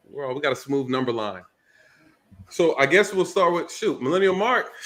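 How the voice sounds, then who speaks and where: Lively intonation from a man with a high pitch at a moderate pace. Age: 30s. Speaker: panel moderator. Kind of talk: panel discussion.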